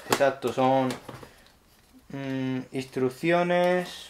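The speaker has a Spanish accent. Light background noise can be heard. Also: man. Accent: Peninsular Spanish. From Spain. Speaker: tech YouTuber; tech unboxing youtuber. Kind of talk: unboxing tutorial. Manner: animated. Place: home room.

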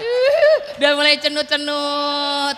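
Against crowd noise in the background, a woman raises and projects her voice in a bright, sharp tone. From Indonesia. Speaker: stand-up comedian. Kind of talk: stand-up comedy set before a live audience. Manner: sarcastic, joking. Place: hall. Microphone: handheld.

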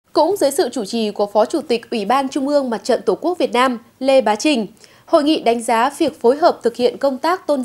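With lively intonation and a high pitch, a woman talks at a fairly quick pace. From Vietnam. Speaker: TV program presenter. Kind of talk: news reading. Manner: formal. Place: studio.

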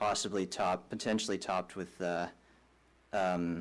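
At a fairly slow pace, a man is talking. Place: hall.

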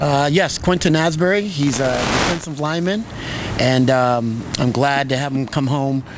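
A man at a moderate pace with ordinary pitch variation, in a dry sound with no echo and noticeable background noise. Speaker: interviewee. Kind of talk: interview answer. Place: stadium. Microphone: handheld.

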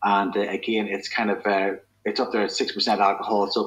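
A man speaks with a fairly low pitch and a fairly bright tone. His pitch moves very little.

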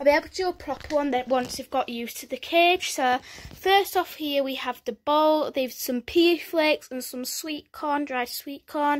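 A woman with a high pitch and ordinary pitch variation talks at a moderate pace with hardly any pauses and big swings in loudness. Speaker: vlogger showing pet cage. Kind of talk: casual vlog chat. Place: home room. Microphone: phone near.

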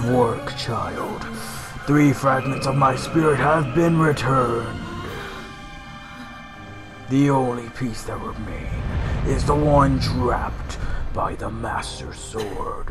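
A man uses a put-on character voice at medium pitch, speaking fairly slowly with long, frequent pauses. Clear music plays in the background. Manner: solemn, dramatic voice acting.

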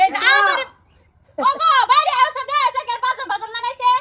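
A woman uses a put-on character voice, squeaky and extremely high in pitch. Her pitch varies in an ordinary way, and her pace is fairly quick. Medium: comedy sketch.

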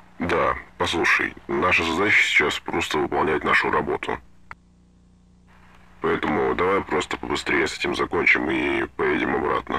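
Putting on a raspy character voice, a man talks at a moderate pace with long, frequent pauses. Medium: audio drama. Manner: reassuring, matter-of-fact.

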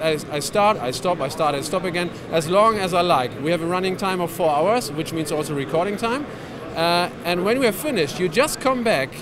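Noticeable background noise sits behind a man who speaks at a fairly quick pace in a high pitch. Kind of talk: interview answer, product demo. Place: hall. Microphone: handheld.

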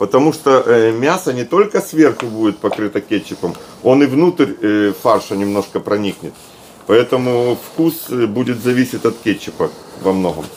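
Over light background noise, a man with an unremarkable speaking voice talks with lively intonation. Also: medium pitch for a man, moderate pace. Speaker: cook showing the recipe; cooking channel host. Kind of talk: cooking tutorial. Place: kitchen. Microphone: camera far.

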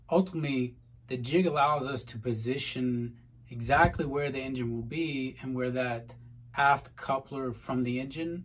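Here a man speaks in a somewhat breathy voice. His intonation stays fairly even. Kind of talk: tutorial. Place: boat. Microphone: phone near.

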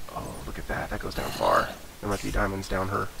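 Over noticeable background noise, a man speaks at a fairly quick pace, his pitch fairly low with ordinary pitch variation. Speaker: gaming YouTuber. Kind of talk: let's play commentary. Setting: home recording. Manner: casual, rambling.

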